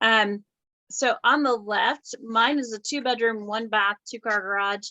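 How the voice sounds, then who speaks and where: A woman speaks with an American accent and a fairly high pitch. Her intonation stays fairly even. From US South. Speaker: real estate agent. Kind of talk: casual video chat. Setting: video call.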